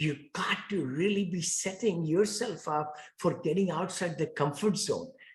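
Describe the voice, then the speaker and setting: This man speaks with a strong Indian accent, his high voice showing ordinary pitch variation. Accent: thick Indian. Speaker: real estate investor. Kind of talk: interview.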